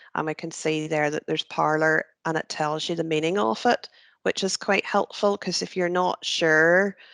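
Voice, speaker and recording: A woman with a Northern Irish accent speaks at a fairly low pitch against a quiet background. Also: dry, close sound with no echo. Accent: Northern Ireland (North Antrim). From Northern Ireland, North Antrim. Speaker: careers trainer. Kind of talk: tutorial. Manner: casual, hesitant with many fillers.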